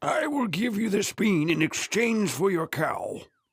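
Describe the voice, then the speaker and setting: A man does a raspy, cartoonish character voice, high-pitched with very wide swings in pitch. He keeps a moderate pace. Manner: calm, persuasive.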